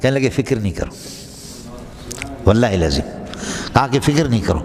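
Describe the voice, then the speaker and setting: A man talks with lively intonation. Noticeable background noise is present. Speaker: Islamic scholar giving a religious sermon. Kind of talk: Islamic sermon (bayan) with storytelling. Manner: emphatic, passionate, rhetorical, addressing the audience directly.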